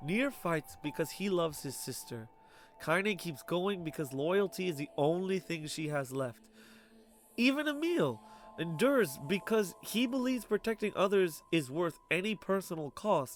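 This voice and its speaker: With music in the background, a man talks at a moderate pace in a high pitch that swings very widely. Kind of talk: video essay narration.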